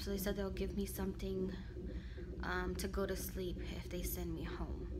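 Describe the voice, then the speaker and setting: A woman talks at a fairly slow pace. Loud background noise runs underneath. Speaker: pregnant vlogger. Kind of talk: casual vlog chat. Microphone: phone near.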